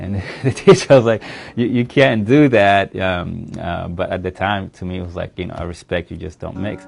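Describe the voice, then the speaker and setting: A man with a Sudanese accent speaks at a fairly low pitch with ordinary pitch variation. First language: Arabic. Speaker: local politician. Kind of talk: interview.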